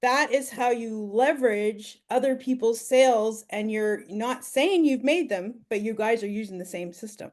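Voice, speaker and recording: With a Canadian accent, a woman talks in a normal speaking voice, fairly high in pitch, at a moderate pace with hardly any pauses, ordinary pitch variation and big swings in loudness. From Ontario, Canada. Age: 50s. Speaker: online business mentor. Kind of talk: mentoring Q&A.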